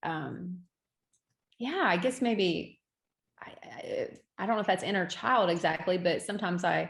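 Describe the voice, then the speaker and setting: Speaking at a fairly slow pace, a woman leaves long, frequent pauses, and her voice is somewhat breathy with ordinary pitch variation. The recording is very clean, with a silent background. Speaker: event venue owner. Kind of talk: podcast interview.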